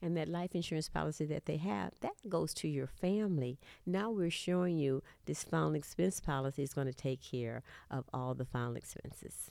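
A woman with a Texan accent, very deep and low in pitch, dark and mellow in tone, lively in intonation, at a moderate pace, in a very clean recording with a silent background. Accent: Southern US, Texan. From Texas, Houston. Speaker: insurance agent. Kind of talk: interview testimony.

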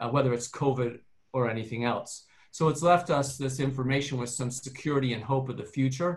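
A somewhat breathy man's voice at medium pitch, moderate in pace, with fairly even intonation. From Canada. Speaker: dentist. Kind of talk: panel discussion.

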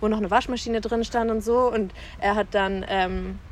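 Her medium-pitched voice holds a monotone, flat intonation throughout. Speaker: podcast guest. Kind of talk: casual chat. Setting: outdoors.

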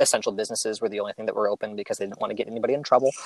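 A man recorded with a dry, close sound and no echo. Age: 30s. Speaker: english teacher. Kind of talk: casual chat.

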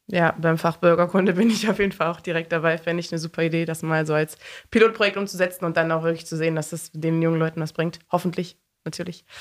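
The speech comes at a very fast pace, its intonation monotone and flat. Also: woman, fairly low pitch for a woman. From East Belgium (German-speaking, Eupen). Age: 20s. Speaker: psychology student and young party member. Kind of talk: podcast interview.

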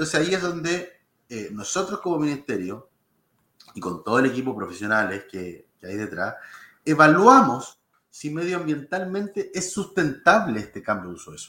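Sharp and bright in tone, a man with fairly high pitch and vocal fry talks at a moderate pace, his pitch swinging very widely and his loudness rising and falling in big swings. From Chile, Lolol (sixth region). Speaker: government official. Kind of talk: interview.

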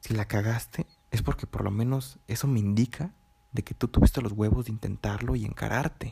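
A man with a Mexican accent talks at a fairly quick pace, his voice medium in pitch with ordinary pitch variation. The tone is dark and mellow, and somewhat breathy. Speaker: taquería worker and student. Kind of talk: personal audio diary. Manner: halting.

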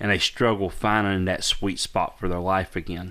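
A man uses an ordinary speaking voice with fairly even intonation at a fairly slow pace. The recording is very clean, the background silent. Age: 40s. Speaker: pastor and podcast co-host. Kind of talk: casual chat.

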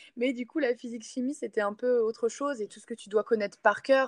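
In a plain, everyday voice, a woman talks fairly quickly with ordinary pitch variation, the sound dry and close with no echo. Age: 20s. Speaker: sports coach. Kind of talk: casual interview.

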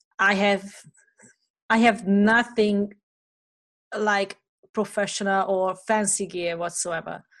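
A woman's flat, monotone delivery at a medium pitch, with a non-native accent and a quiet background. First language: not English. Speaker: podcast host. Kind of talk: casual interview. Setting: video call. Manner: halting.

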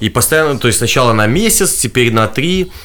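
Lively intonation runs through a normal speaking voice. The pace is fairly quick. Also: man. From Belarus, Gomel. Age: 20s. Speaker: political activist and blogger. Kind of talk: interview testimony.

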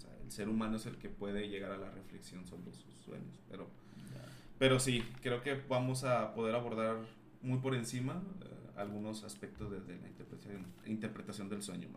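A man with a fairly low pitch speaks at a moderate pace with lively intonation and big swings in loudness, and there is audible room echo. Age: 30s. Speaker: psychologist. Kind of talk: casual chat.

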